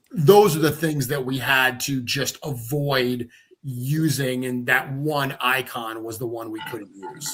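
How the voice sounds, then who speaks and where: This man has a medium pitch. He talks at a very slow pace. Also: fairly even intonation, big swings in loudness. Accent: Rhode Island. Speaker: toy company creator. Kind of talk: casual chat.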